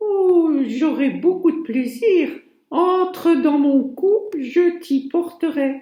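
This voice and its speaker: A woman uses a put-on character voice with an extremely high pitch. She speaks very slowly. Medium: read story.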